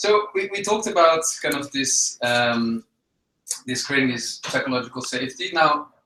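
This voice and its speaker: A man speaks at a moderate pace with a Dutch accent. His intonation is lively. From Netherlands. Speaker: webinar host. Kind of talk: webinar interview. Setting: live online broadcast.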